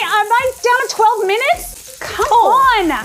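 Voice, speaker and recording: Over noticeable background noise, a woman speaks in an upbeat, playful tone. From Puerto Rico. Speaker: food TV personality and chef. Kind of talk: TV food show talk.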